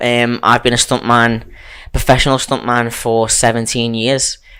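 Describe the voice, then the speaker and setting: A man talks with a Liverpool accent at a moderate pace. His medium-pitched voice has a bright, sharp tone. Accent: Liverpool (Scouse). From Liverpool, England. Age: 30s. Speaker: stuntman. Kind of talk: casual chat.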